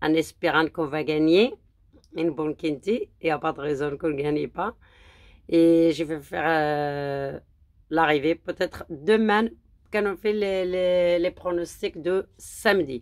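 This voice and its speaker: The speech is very slow, in a Moroccan accent with ordinary pitch variation. The recording is very clean, with a silent background. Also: woman, fairly low pitch for a woman. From Morocco. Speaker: horse racing tipster. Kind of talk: casual vlog monologue; angry rant at critics. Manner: halting, many hesitations.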